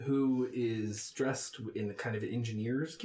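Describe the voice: Fairly even intonation in plain reading aloud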